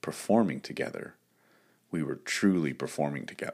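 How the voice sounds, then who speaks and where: Vocal fry runs through this American accent on a very clean recording with a silent background. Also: man. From Texas, Dallas-Fort Worth area. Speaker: high school choir director and podcast host. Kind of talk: solo podcast monologue. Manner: hesitant with frequent fillers.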